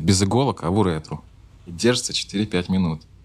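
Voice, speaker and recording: At a moderate pace, a man with a very deep, low pitch speaks with ordinary pitch variation. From Russia, Saint Petersburg. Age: 30s. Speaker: former adult film actor. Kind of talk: casual interview.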